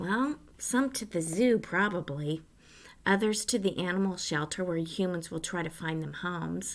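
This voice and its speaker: Using a put-on character voice, a woman speaks with a raspy sound at medium pitch and a moderate pace, in a very clean recording with a silent background. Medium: read story. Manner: casual, bright.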